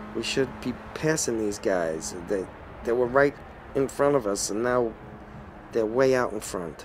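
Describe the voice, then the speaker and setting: A medium-pitched man with a New York accent and ordinary pitch variation, pausing long and often over noticeable background noise. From Brooklyn, New York. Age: old. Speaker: video game streamer. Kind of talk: live gameplay commentary. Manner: animated.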